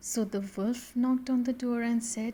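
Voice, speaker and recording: Soft-spoken and high-pitched, a woman's voice comes through. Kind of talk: bedtime story narration. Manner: soothing, soft-spoken.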